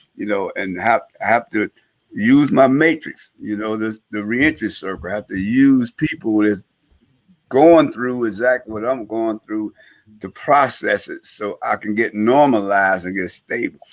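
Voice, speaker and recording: Speaking at a fairly slow pace, a man with an ordinary speaking voice has a medium pitch and ordinary pitch variation, heard in a dry, close sound with no echo. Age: 60s. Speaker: former gang leader, reentry advocate and professor. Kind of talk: talk show interview. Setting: live-streamed talk show.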